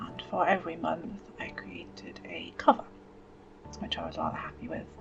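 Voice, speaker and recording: A woman whispering in a calm tone at a moderate pace, with big swings in loudness and music in the background. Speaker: writer and bullet journaller with ME/CFS. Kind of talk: soft-spoken, semi-ASMR talk to camera. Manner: soft-spoken, calm, reflective.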